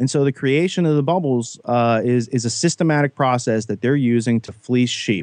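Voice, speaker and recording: A man with an American accent speaks with hardly any pauses in a normal speaking voice. His medium pitch sounds dry and close with no echo. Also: ordinary pitch variation, moderate pace. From Western Pennsylvania. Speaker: guest, whistleblower and podcaster. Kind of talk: podcast discussion.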